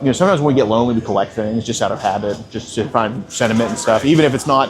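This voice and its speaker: Very fast speech with ordinary pitch variation amid noticeable background noise. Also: man. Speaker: predator hunter confronting suspects. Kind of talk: confrontational interview. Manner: halting, repetitive.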